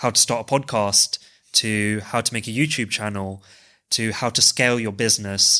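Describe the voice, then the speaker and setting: A man with a London accent has a bright, sharp tone and a medium pitch, talking at a moderate pace. The recording is very clean, with a silent background. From West London, England. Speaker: co-founder, finance professional. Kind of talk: casual chat.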